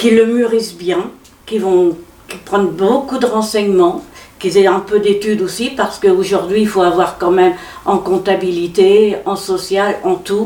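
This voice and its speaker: Over noticeable background noise, a woman speaks at a moderate pace with medium pitch and fairly even intonation. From Normandy, Pays de Caux. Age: 70s. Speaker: café owner. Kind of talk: interview testimony. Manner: halting.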